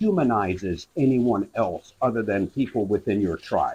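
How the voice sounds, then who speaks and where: Speaking with an American accent, a man keeps a medium pitch and a moderate pace. His intonation is lively and his voice somewhat breathy. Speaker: retired police officer and author. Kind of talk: interview. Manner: gets tongue-tied on some words; animated.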